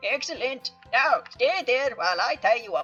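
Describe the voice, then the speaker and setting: At a moderate pace, a female-sounding voice does a high-pitched put-on character voice while faint music plays in the background. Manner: menacing, commanding.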